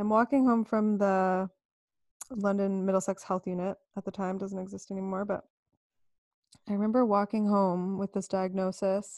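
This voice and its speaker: A woman with a Canadian accent, moderate pace, long and frequent pauses, flat monotone intonation, and a dry, close sound with no echo on a very clean recording over a silent background. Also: medium pitch for a woman. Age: 30s. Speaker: myofascial release therapist. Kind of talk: casual interview.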